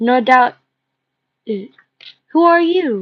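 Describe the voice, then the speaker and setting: Putting on a gruff character voice, a woman speaks at a high pitch with very wide pitch swings. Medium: read story. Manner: gruff, mean.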